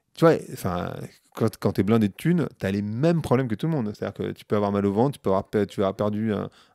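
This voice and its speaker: A man talks very fast in a fairly low voice, with a quiet background behind him. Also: dry sound with no echo. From Paris suburbs, France; France. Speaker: marketing professional and podcaster; podcast guest. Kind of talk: casual interview. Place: home room. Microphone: handheld.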